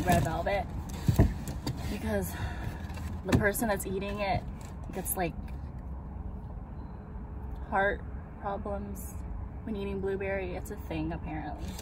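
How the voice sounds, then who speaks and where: A woman speaks with big swings in loudness and long, frequent pauses. The sound is dry with no echo, but noticeable background noise is present. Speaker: vlogger. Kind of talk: casual vlog chat. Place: car. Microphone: phone near.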